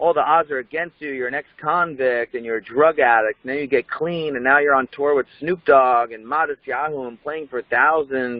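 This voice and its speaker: A man speaks in an animated tone at a moderate pace. His pitch varies in an ordinary way. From New Jersey. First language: Hebrew. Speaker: rapper. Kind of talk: interview.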